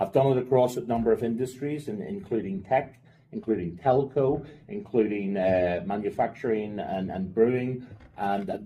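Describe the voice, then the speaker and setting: Speaking with a Northern Irish accent, a man with a medium-pitched voice and a dark, mellow tone uses lively intonation. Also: moderate pace. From Northern Ireland, Belfast. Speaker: finance operations executive. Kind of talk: podcast interview. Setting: in person. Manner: casual, with fillers and repetitions.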